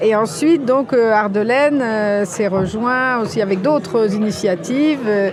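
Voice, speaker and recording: A woman's fairly high-pitched voice at a fairly slow pace, with audible room echo and noticeable background noise. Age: 60s. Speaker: founder of cooperative ventures and publisher. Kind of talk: interview. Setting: recorded at a festival. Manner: hesitant, many fillers.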